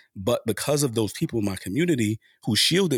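A man with an American accent at a fairly quick pace, in a dry, close sound with no echo and a very clean recording with a silent background. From US Northeast, Harlem, New York City. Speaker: sociology professor. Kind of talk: interview.

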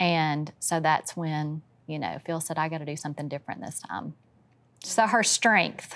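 With a Louisiana accent, a woman speaks at a very deep, low pitch with ordinary variation, recorded very cleanly against a silent background. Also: moderate pace. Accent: US Southern (Louisiana). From Louisiana, West Monroe. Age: 50s. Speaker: family member of a reality TV family. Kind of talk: casual chat.

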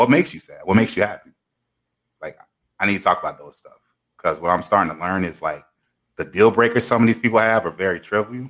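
Speaking at a very fast pace with long, frequent pauses, a man at medium pitch shows ordinary pitch variation and big swings in loudness. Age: 30s. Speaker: podcast co-host. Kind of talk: casual chat. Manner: animated.

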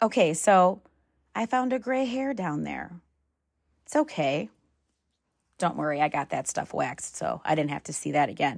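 In a very clean recording with a silent background, a woman with a fairly low pitch and vocal fry moves at a moderate pace through very wide pitch swings and long, frequent pauses. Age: 40s. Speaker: podcast host. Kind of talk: casual solo monologue.

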